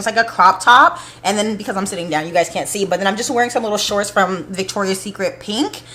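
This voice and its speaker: A woman talks at a very fast pace in an animated tone, with medium pitch and ordinary pitch variation. Noticeable background noise is present. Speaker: beauty vlogger. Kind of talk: casual vlog talk to camera.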